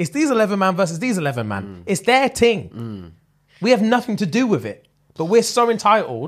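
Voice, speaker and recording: A man with a London accent talks at a fairly quick pace over a quiet background. His high pitch swings very widely. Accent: London multicultural English. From UK. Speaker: comedy podcast co-host. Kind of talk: casual chat. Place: home room. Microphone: studio mic.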